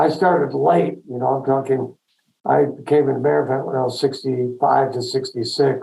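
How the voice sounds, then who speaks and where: Speaking at a moderate pace, a man with a medium pitch and a dark, mellow tone shows vocal fry and fairly even intonation. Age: 70s. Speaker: veterinarian, practice owner. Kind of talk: webinar interview.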